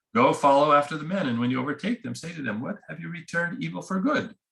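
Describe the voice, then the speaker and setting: Very fast and lively in intonation, a man talks with fairly high pitch, a bright, sharp tone and vocal fry. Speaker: priest teaching a bible class. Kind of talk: bible class lecture with reading aloud.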